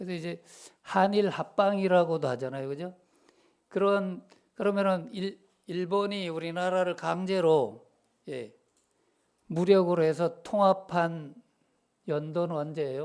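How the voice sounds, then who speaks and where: A man with a high pitch talks at a fairly slow pace, leaving long, frequent pauses. His pitch varies in an ordinary way, while his loudness swings widely. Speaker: preacher. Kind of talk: sermon. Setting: church. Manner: conversational, asks congregation questions.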